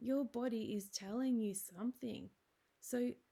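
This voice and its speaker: A woman speaks at a fairly slow pace in a somewhat breathy, dark, mellow voice with ordinary pitch variation. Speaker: osteopath. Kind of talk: wellness talk. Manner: excited, heightened.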